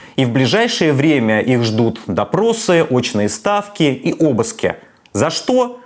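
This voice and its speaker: A man is speaking. The background is quiet. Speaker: political commentator. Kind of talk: commentary. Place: kitchen. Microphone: lapel.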